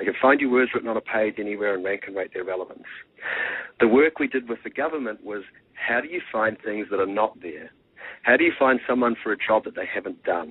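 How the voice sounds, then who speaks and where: Speaking very fast with a New Zealand accent, a man uses a medium pitch and ordinary pitch variation. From New Zealand (Marlborough). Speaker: tech entrepreneur. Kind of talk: radio interview. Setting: radio show.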